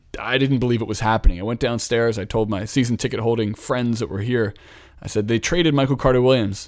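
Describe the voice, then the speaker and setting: A normal speaking voice from a man with an American accent, medium pitch, fairly quick pace and ordinary pitch variation. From Philadelphia, US. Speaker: podcast host, NBA commentator. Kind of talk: casual sports talk chat.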